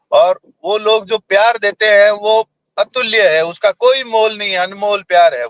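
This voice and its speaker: The sound is dry and close, with no echo. A man speaks at a high pitch with fairly even intonation. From Rajasthan, India (Jodhpur). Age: young. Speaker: politician. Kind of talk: interview.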